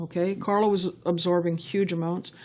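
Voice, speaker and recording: Her delivery is monotone and flat. A woman speaks at a moderate pace in a medium pitch. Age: 60s. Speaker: charity car donation organizer. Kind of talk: interview.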